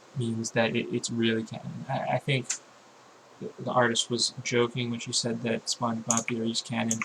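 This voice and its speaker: Over noticeable background noise, a man speaks at a medium pitch and moderate pace with fairly even intonation. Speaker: YouTube commentator. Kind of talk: casual vlog monologue. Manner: halting, many fillers and repetitions.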